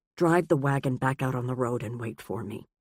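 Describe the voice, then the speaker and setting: This put-on character voice growls at a low-to-middle pitch and moves at a fairly quick pace. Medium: read story. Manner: clipped, stern.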